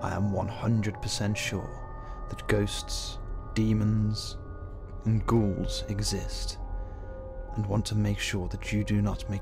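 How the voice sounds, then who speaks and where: Fairly slow speech from a man, with music in the background. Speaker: narrator. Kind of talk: comedic first-person horror story narration.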